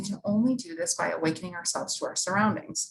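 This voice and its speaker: Speaking at a fairly quick pace, a woman talks in a medium pitch. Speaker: university staff presenter and instructor. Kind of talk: workshop presentation. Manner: fast; animated.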